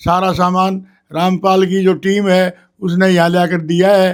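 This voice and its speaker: The man's voice is high in pitch. His intonation stays monotone and flat. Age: 70s. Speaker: former village headman. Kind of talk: interview testimony. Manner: halting, with repetitions.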